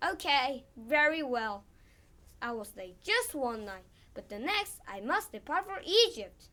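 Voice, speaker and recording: A woman puts on a character voice at a high pitch. She speaks at a fairly slow pace with very wide pitch swings. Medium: read story.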